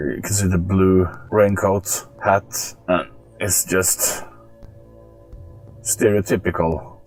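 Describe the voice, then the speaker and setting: Music plays behind a man with a strong Norwegian accent and a very deep, low pitch. He talks at a very slow pace with fairly even intonation and long, frequent pauses. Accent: thick Norwegian. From Norway. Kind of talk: casual commentary to camera.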